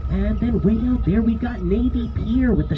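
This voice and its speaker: With music in the background, a woman with an American accent speaks at a moderate pace. Her intonation is fairly even, and there is audible room echo. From Chicago, US Midwest. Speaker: tour guide. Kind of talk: guided tour narration. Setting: outdoors on a speedboat.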